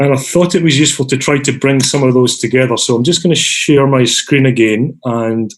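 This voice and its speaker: With a Scottish accent, a man speaks at a moderate pace and a medium pitch, with very even loudness, fairly even intonation and hardly any pauses. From Scotland. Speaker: design academic, meetup organiser. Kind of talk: online meeting facilitation. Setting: video call. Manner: casual, filler-heavy.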